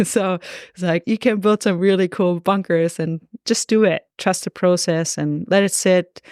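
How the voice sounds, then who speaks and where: A woman speaks with a German accent. The recording is very clean, with a silent background and a dry, close sound with no echo. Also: medium pitch for a woman, fairly even intonation, moderate pace. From Germany, Augsburg, Bavaria. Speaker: golf course architect. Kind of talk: podcast interview.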